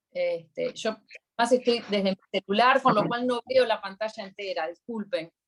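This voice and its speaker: The recording is dry and close with no echo as a woman with a fairly high voice speaks at a moderate pace with ordinary pitch variation. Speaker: accountant giving a workshop. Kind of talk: online workshop Q&A.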